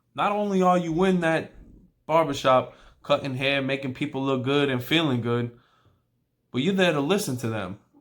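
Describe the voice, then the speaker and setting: A man with a New York accent, fairly high in pitch, at a moderate pace and with lively intonation, on a very clean recording with a silent background. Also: long, frequent pauses. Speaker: barber. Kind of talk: tutorial. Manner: casual.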